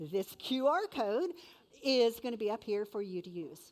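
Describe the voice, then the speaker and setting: A woman is speaking. Her intonation is lively. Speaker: event emcee. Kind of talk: event announcements.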